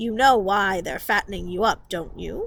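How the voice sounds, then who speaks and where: Growling in a put-on character voice, a woman holds a medium pitch. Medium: read story. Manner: blunt.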